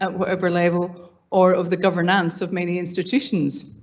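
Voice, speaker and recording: Audible room echo surrounds a voice speaking with a Scottish accent. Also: woman. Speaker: academic panelist. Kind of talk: conference panel talk. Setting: conference panel. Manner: hesitant, many fillers.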